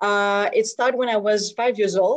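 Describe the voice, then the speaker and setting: A woman's fairly high pitch at a moderate pace, with a dry, close sound and no echo. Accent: Quebec. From Quebec, Montreal South Shore. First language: French. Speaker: softball umpire. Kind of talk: personal story talk. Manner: halting, many fillers.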